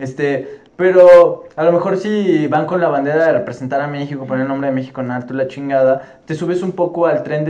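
A fairly high-pitched man at a moderate pace with hardly any pauses and ordinary pitch variation, over noticeable background noise. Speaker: football podcast host. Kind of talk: casual chat. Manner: animated.

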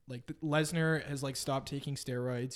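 In a Western Canadian accent, a man talks at a moderate pace with fairly even intonation. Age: 20s. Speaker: former rugby player. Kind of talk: casual chat.

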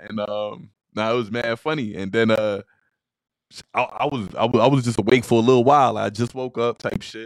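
A fairly quick delivery with fairly even intonation and big swings in loudness, dry and close with no echo. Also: man, medium pitch for a man. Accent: American. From Queens, New York. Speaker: rapper. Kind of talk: casual interview.

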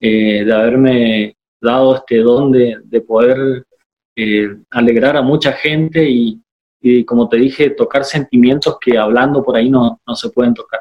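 A man with an unremarkable speaking voice talks at a fairly slow pace, a medium pitch and fairly even intonation. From Corrientes province, Argentina. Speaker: chamamé musician. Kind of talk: casual interview. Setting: video call.

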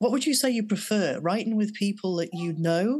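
With a normal speaking voice, a woman talks at a fairly quick pace using lively intonation. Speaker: podcast co-host. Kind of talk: casual interview chat.

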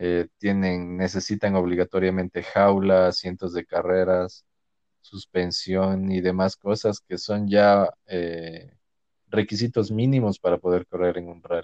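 Spoken at a fairly slow pace in a flat monotone, the voice sounds dry and close with no echo. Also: man, very deep, low pitch for a man. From Ecuador, Loja. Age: 20s. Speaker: architect. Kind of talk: casual interview chat.

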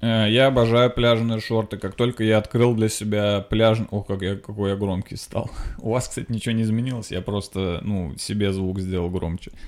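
A man speaks at a fairly low pitch. His pace is moderate. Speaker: podcast host, comedian. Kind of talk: casual comedic monologue. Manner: loud; animated.

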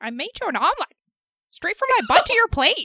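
In a put-on character voice, a female-sounding speaker at an extremely high pitch talks at a fairly quick pace with very wide pitch swings. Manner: comedic, exaggerated.

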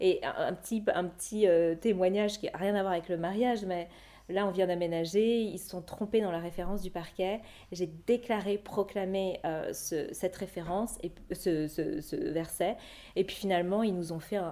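At a moderate pace, a woman with a medium pitch and a dark, mellow tone speaks with fairly even intonation. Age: 30s. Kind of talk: testimony.

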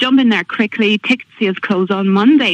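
A woman speaks very fast in an Irish accent, her pitch medium with ordinary variation. The sound is dry and close with no echo, over noticeable background noise. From Ireland, County Monaghan. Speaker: school fundraiser organiser. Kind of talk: radio interview.

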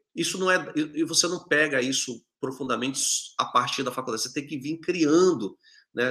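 A man talks at a moderate pace with lively intonation. His voice is fairly high-pitched, with a bright, sharp tone. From northern Brazil, Manaus. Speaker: infrastructure technology executive. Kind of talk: interview on live video show.

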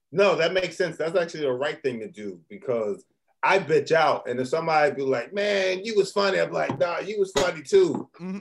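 A man with an American accent speaks at a high pitch and a fairly quick pace, with lively intonation. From Philadelphia. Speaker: stand-up comedian. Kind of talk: casual chat. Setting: studio.

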